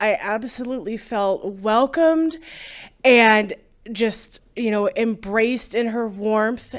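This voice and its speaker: Very clean and set against a silent background, a woman's voice moves at a very slow pace with fairly even intonation. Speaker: eulogy speaker. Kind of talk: memorial tribute.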